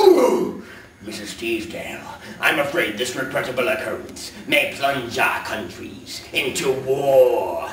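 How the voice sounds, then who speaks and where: A man's put-on character voice at a fairly slow pace, with big swings in loudness and a slight echo. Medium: stage play. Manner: pompous, formal.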